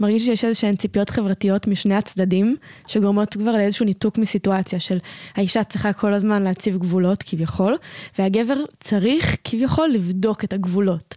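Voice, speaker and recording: A woman with a medium pitch talks in a dark, mellow tone at a fairly quick pace. Her loudness stays very even and her pitch varies in an ordinary way, with a dry, close sound with no echo. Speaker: podcast host. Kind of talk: casual interview.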